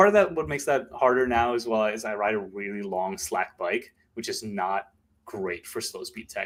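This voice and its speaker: Here a man speaks with an American accent. His pace is fairly slow. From Maryland, US. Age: 30s. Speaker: mountain bike content creator. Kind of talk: casual podcast interview.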